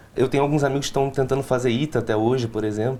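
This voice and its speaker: A man talks at a very fast pace in a Recife accent. His tone is dark and mellow, his pitch fairly high. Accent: Recife accent, retained. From Recife, Pernambuco, Brazil. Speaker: law student. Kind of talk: interview. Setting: studio.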